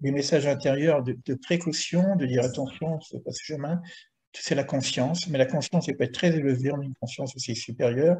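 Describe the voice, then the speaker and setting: His voice is dark and mellow, and the man sounds somewhat breathy. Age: 70s. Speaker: spiritual teacher. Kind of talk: teaching Q&A. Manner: halting, many repetitions.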